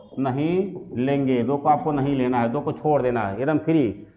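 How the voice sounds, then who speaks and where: Against noticeable background noise and audible room echo, a man speaks at a fairly high pitch. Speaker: math teacher. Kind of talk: lecture. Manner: repetitive filler "ठीक ना".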